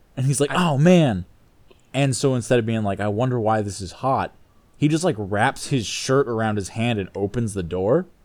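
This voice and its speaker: With a normal speaking voice, a man talks at a moderate pace in a medium pitch with lively intonation. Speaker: podcast host. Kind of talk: casual comedic banter. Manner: jokey, casual.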